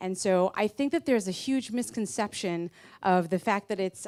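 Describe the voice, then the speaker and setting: An unremarkable speaking voice from a woman with an American accent, medium in pitch with ordinary pitch variation, dry and close with no echo on a very clean recording with a silent background. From United States. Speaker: marketing executive. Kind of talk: conference talk.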